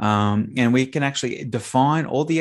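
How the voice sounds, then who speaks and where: A man's speech carries ordinary pitch variation, and the background is quiet. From Australia. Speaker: sales and marketing entrepreneur. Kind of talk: podcast interview. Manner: animated.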